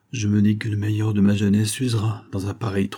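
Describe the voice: The words are read out plainly. It is simple reading aloud.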